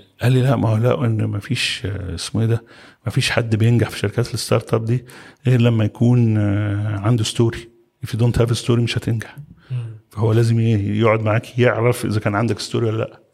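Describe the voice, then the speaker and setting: A somewhat breathy man talks at a fairly quick pace in a medium pitch, his intonation monotone and flat. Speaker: construction company chairman. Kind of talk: podcast interview.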